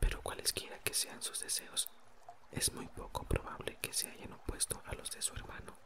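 Someone whispers over noticeable background noise. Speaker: audiobook narrator. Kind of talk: whispered ASMR reading aloud of a novel. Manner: even, gentle narration, voicing dialogue lightly.

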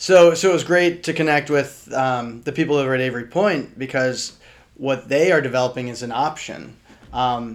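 A man with an American accent talks at a moderate pace and medium pitch. He has a normal speaking voice with fairly even intonation. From Richmond, Virginia. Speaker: podcast co-host, real estate agent. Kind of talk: casual chat.

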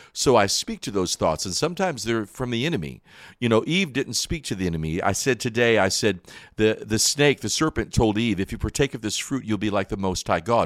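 A man of medium pitch with an American accent, a plain, everyday voice, on a very clean recording with a silent background. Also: lively intonation, fairly quick pace. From North Carolina Appalachians and Michigan. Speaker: gospel singer and preacher. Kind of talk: testimony.

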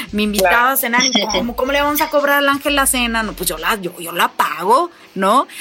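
A woman with a high pitch talks at a fairly quick pace in an animated tone, with very wide pitch swings over noticeable background noise. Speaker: motivational speaker. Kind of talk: interview conversation.

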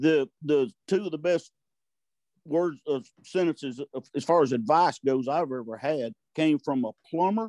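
Lively intonation and a dark, mellow tone come through at a moderate pace in a Southern US accent. The sound is dry and close with no echo, over a quiet background. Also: man. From US South, Arkansas-Louisiana border. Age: 60s. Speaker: turkey call maker. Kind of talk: casual chat. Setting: video call.

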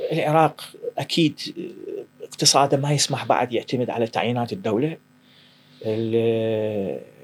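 Long, frequent pauses break up a man's fairly slow speech. His pitch is medium, with ordinary variation. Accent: Iraqi. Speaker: startup founder and CEO. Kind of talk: interview conversation.

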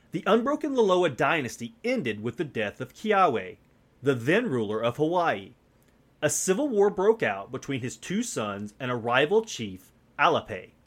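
In a very clean recording with a silent background, a man with a fairly high pitch and vocal fry speaks at a moderate pace, his pitch swinging very widely. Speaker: podcast host. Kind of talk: solo podcast intro, then history documentary narration. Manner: measured, steady storyteller pace, formal and earnest.

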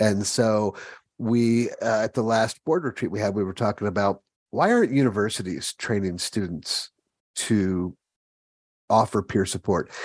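An ordinary speaking voice from a man, fairly low, with an American accent at a moderate pace. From Ohio (Springfield). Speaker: podcast host. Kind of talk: casual chat. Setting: video call.

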